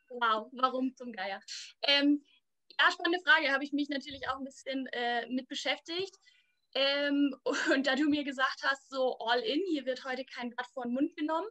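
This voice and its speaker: A woman speaks in a raised, projected voice, pitched high. The sound is dry and close with no echo. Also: ordinary pitch variation, moderate pace. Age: 20s. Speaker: church youth worker. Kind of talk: casual chat.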